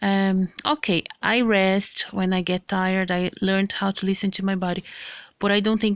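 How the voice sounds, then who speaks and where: With a non-native accent, a woman talks in a medium pitch and a monotone, flat intonation, her voice dry and close with no echo on a very clean recording with a silent background. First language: not English. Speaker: health vlogger. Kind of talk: casual vlog with reading aloud. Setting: handheld camera. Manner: halting.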